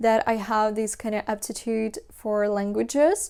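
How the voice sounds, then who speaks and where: A woman with a non-native accent speaks at a fairly high pitch. Her pace is fairly slow. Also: very clean recording, silent background. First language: Russian. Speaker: language learning vlogger. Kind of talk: casual talk to camera.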